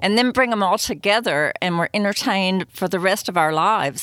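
Enthusiastic and with a Southern US accent, a woman talks at a fairly quick pace with lively intonation and a medium pitch. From US Southeast. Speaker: podcast host. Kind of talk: interview.

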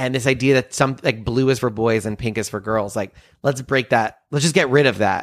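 Captured on a very clean recording with a silent background, a man talks at a fairly quick pace with ordinary pitch variation. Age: 30s. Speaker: comedian and magician. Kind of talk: casual interview chat. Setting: home studio.

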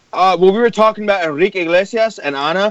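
A man speaks in a high pitch. His tone is animated. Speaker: musician. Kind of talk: casual chat. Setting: phone call.

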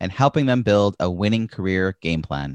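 Recorded very clean against a silent background, with a dry, close sound and no echo, a man speaks in a normal speaking voice at a moderate pace with lively intonation. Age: 40s. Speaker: podcast host. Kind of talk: scripted narration; interview.

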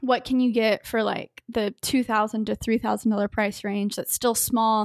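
With an American accent and an unremarkable speaking voice, the speaker talks at a moderate pace with fairly even intonation, in a very clean recording with a silent background and a dry, close sound with no echo. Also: woman. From Texas, Dallas suburbs. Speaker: YouTuber and tech entrepreneur. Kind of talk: casual interview chat.

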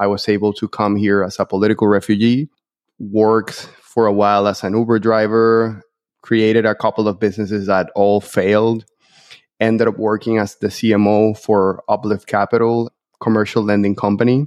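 Speaking in a monotone, flat intonation, a man with a fairly low pitch and a Spanish accent is heard in a dry, close sound with no echo. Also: very even loudness. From Venezuela. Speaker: entrepreneur. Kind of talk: interview.

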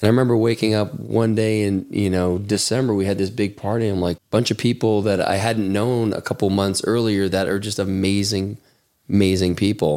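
An ordinary speaking voice with an American accent and ordinary pitch variation, on a very clean recording with a silent background. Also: man. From Chicago. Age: 40s. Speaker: former trader turned fitness community leader. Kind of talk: casual chat.

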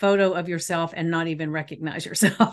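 Against a quiet background, a woman with a plain, everyday voice and fairly low pitch speaks at a moderate pace with ordinary pitch variation. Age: 60s. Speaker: podcast host and life coach. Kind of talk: casual interview chat.

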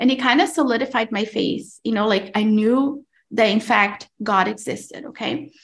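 This woman's fairly high voice is somewhat breathy, moving at a moderate pace with ordinary pitch variation. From Brazil. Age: 30s. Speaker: podcast host and mom. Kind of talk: testimony.

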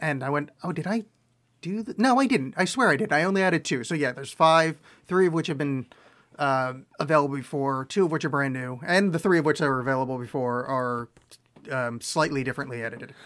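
A man's ordinary speaking voice, fairly high in pitch, on a very clean recording with a silent background. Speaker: podcast host and author. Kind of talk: casual chat.

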